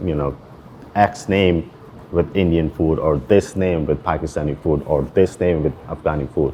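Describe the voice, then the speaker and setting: The speaker goes at a moderate pace with fairly even intonation. Noticeable background noise is present. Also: man. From Pakistan, Karachi. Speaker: chef and restaurant owner. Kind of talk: interview. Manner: casual, filler-heavy.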